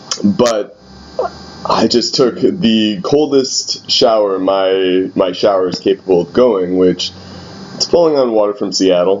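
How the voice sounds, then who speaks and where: Noticeable background noise under speech at a fairly slow pace. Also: man. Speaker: youth pastor. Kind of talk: personal video diary. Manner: hesitant, many fillers.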